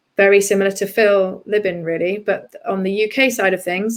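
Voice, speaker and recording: With a British accent, a woman talks at a medium pitch. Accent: English (UK). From southeast England. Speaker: PR and communications executive. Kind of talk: interview conversation.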